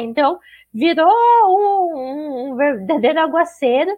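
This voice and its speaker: High pitch from a woman, swinging very widely up and down. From southern Brazil, Curitiba. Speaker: motorsport podcast co-host. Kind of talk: casual chat.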